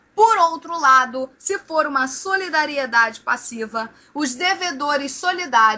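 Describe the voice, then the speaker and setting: A woman with a high pitch speaks in a raised, projected voice and an animated tone, with lively intonation. Her loudness swings widely, and she barely pauses. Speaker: law teacher. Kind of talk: exam review lecture.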